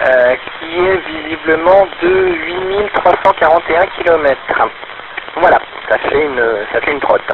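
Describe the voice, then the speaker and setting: Over noticeable background noise, a man with a high pitch and ordinary pitch variation speaks at a fairly slow pace. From France. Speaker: ham radio operator. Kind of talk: ham radio conversation. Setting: portable radio link. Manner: halting.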